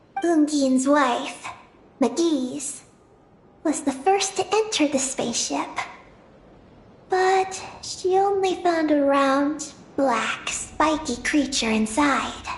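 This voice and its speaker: A cartoonish character voice speaks at a high pitch. The delivery is very slow. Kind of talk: solemn lore narration. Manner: measured, calm.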